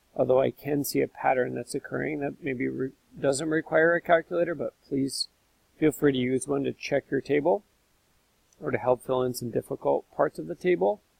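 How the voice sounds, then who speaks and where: In a dry, close sound with no echo, a man with a fairly high pitch and vocal fry speaks with ordinary pitch variation. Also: moderate pace. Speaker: math teacher. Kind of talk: tutorial.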